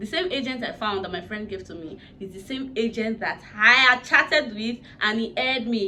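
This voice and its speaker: Fairly quick, fairly high speech from a woman amid noticeable background noise. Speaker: YouTuber, vlogger. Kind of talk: casual vlog storytelling. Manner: animated.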